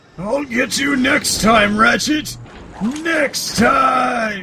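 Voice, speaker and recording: A man shouts in a put-on character voice at an extremely high pitch. His pace is very slow. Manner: menacing, villainous.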